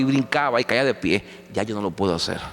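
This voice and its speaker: The pitch of this man's voice swings very widely. He talks at a moderate speed. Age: 50s. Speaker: pastor. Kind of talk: sermon. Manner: halting.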